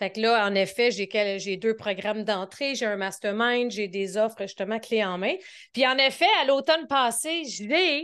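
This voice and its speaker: A woman with a Quebec accent, a fairly high pitch and lively intonation, at a fairly slow pace against a quiet background. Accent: Québécois. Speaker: business coach. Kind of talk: podcast interview.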